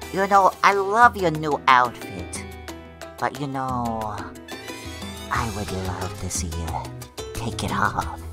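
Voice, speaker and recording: Over clear background music, a put-on character voice speaks at a low pitch and a fairly slow pace. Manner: flirtatious, teasing.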